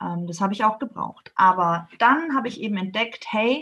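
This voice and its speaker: A woman speaks in a plain, everyday voice, her pitch fairly high. She talks at a moderate pace with lively intonation. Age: 30s. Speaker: yoga trainer. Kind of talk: interview.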